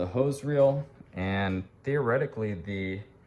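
A fairly low-pitched man amid noticeable background noise. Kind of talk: casual vlog chat. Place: garage. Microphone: phone near.

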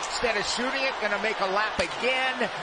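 A man speaks at a fairly quick pace with ordinary pitch variation, in a dry sound with no echo and loud background noise. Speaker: play-by-play announcer. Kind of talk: live sports commentary, colour analyst. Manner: brisk, upbeat and conversational, cheerful and playful; fluent talker who rattles off stats. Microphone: headset.

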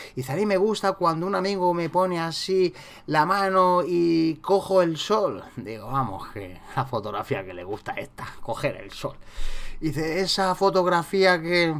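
In a Madrid accent, a man with a high voice speaks fairly slowly with lively intonation. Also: big swings in loudness. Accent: central Spain Spanish (Madrid area). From Spain, town south of Madrid. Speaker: street photography youtuber. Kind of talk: casual tutorial monologue. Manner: animated.

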